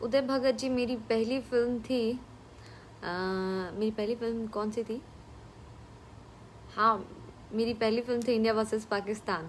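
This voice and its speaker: A woman speaks in a Bihari accent at a fairly high pitch. Her intonation is monotone and flat, broken by long, frequent pauses. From Bhojpuri-speaking region of India. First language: Bhojpuri (speaking Hindi). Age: 20s. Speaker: film actress. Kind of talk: live stream Q&A with viewers. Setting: live stream from home. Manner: casual, with fillers.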